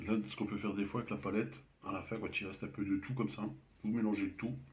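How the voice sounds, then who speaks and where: A man speaks very fast in a soft, somewhat breathy voice. His pitch sits fairly low for a man, with ordinary variation. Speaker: amateur painter. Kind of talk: painting tutorial. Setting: at home. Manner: soft-spoken; halting.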